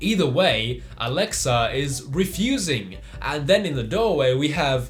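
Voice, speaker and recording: Over noticeable background noise and audible room echo, a man speaks at a fairly slow pace with lively intonation. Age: young. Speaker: youtuber reacting to memes. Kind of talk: commentary reading memes.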